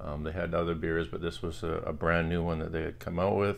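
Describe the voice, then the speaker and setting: The man's pitch is very deep and low, and his voice carries vocal fry. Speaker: vinyl collector vlogger. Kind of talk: casual vlog chat. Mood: relaxed, friendly. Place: home room. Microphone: phone near.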